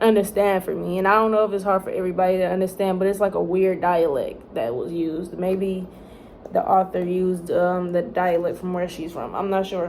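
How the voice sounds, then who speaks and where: Over noticeable background noise, a woman talks at a fairly quick pace in a medium pitch with fairly even intonation. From Texas. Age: young. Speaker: college student. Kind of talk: casual talk to camera. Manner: rambling.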